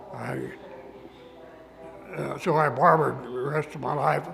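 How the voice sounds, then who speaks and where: A man speaks with music in the background. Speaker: retired barber and former farm boy. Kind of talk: interview answer.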